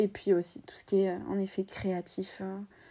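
A dark, mellow tone at a very slow pace, on a very clean recording with a silent background. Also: woman. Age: 20s. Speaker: YouTuber and podcaster. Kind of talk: personal testimony.

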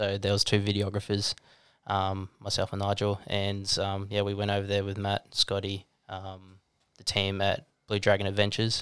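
With an Australian accent, a man talks in a flat monotone at a moderate pace and fairly low pitch, recorded very cleanly against a silent background. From Australia, Gold Coast. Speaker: videographer and trekker. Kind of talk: interview storytelling. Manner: hesitant, many ums.

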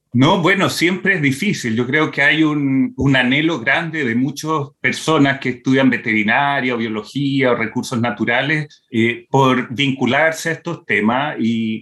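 The tone is bright and sharp, with ordinary pitch variation. Delivery comes at a fairly slow pace. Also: man. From Brazil (born in Santiago, Chile). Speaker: veterinarian and wildlife conservationist. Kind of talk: interview. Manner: hesitant, with fillers and repetitions.

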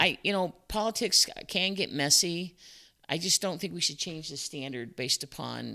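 A woman with an American accent, very deep and low in pitch yet bright and sharp in tone, with vocal fry, very wide pitch swings, a moderate pace and long, frequent pauses, in a very clean recording with a silent background. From Chicago area, US. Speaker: business owner, former parks manager. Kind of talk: casual interview.

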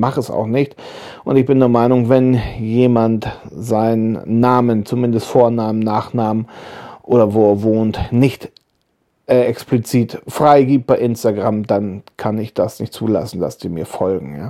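A man speaks in a relaxed tone at a fairly slow pace, his medium-pitched voice dark and mellow. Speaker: YouTuber and woodworking podcaster. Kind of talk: casual monologue. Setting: lying in bed at home. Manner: relaxed, hesitant with fillers.

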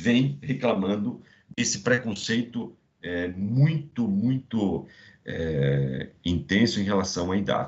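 This man's somewhat breathy voice has lively intonation. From Brazil, Santa Catarina interior. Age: 50s. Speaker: business executive and MBA professor. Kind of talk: podcast interview.

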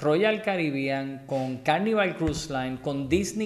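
Man with a fairly high pitch at a fairly slow pace, in audible room echo. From Puerto Rico, Guaynabo. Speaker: dive business owner. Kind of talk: casual interview.

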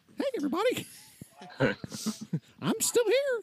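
This is a put-on character voice pitched extremely high. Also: moderate pace. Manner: cheerful, cartoonish.

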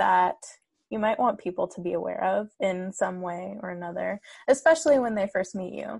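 Against a quiet background, a woman talks with a General American accent. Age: 20s.

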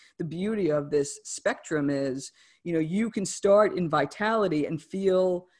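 A woman speaks in a plain, everyday voice with an American accent, fairly low in pitch and with ordinary pitch variation. Her pace is moderate, and the recording is very clean with a silent background. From New Jersey / New York City area. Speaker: author and wellness coach. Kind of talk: interview.

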